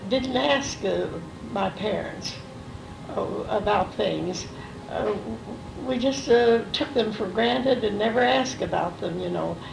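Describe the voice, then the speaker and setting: The speech moves at a fairly slow pace, broken by long, frequent pauses. Background noise is noticeable. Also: woman. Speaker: grandmother telling family stories. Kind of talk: recorded family interview, reminiscing. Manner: hesitant, many fillers.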